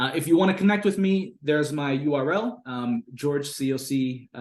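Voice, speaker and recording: Speaking at a moderate pace with lively intonation, a man with an American accent has a fairly high pitch. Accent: Americanized. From Bangladesh (raised abroad; born Fiji, Pacific Islander heritage). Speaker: consultant and business coach. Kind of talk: online workshop presentation. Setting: video call. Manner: frequent fillers and hesitations.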